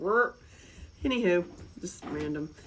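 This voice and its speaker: A woman talks with a Southern US accent. Noticeable background noise runs behind her. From North Carolina, US South (Asheville). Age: 50s. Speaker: live-stream host. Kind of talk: casual chat. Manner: animated.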